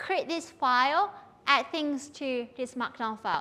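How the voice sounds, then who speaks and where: Raised and projected, a woman's voice carries a bright, sharp tone. She speaks at a very slow pace with lively intonation. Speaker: university lecturer. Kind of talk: lecture.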